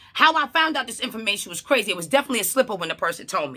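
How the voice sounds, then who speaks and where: A woman's voice, bright and sharp, sounds animated and swings very widely in pitch over a quiet background. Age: 30s. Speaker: mental health counselor and vlogger; vlogger. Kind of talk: casual vlog monologue. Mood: opinionated, incredulous. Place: home room. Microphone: phone near.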